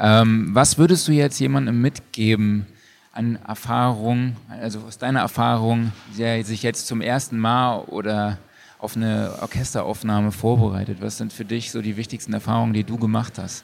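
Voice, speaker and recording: A man with an unremarkable speaking voice talks at a moderate pace, his medium pitch carried on a fairly even intonation. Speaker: podcast host. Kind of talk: casual chat. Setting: stage with audience.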